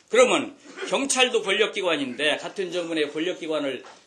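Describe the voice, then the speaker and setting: A man's raised, projected voice with very wide pitch swings. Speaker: politician. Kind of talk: political speech. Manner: fast; animated.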